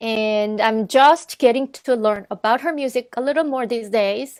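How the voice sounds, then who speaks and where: Woman with a non-native accent, high pitch, ordinary pitch variation, moderate pace, and a dry, close sound with no echo. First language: not English. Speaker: arts organization director and musician. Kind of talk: casual chat. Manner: halting.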